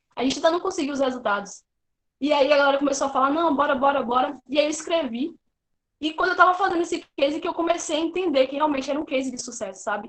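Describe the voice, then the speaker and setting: Her voice is high-pitched, with ordinary pitch variation. The woman talks at a very fast pace. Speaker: student junior enterprise member presenting a sales case. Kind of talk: online presentation.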